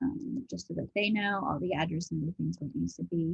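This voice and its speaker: This woman talks at a fairly quick pace. Her pitch sits fairly low, with vocal fry. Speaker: office manager training a colleague on bookkeeping. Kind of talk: screen-share tutorial. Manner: fast.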